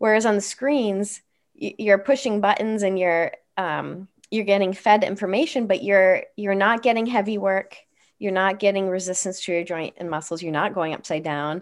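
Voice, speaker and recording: Her medium-pitched voice is an unremarkable speaking voice, and this woman moves at a moderate pace with ordinary pitch variation. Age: 40s. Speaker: occupational therapist. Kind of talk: casual chat. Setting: video call.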